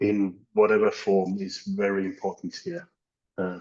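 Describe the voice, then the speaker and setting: This man talks fairly slowly, with a non-native accent. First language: not English. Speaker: academic. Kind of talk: panel discussion. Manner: halting.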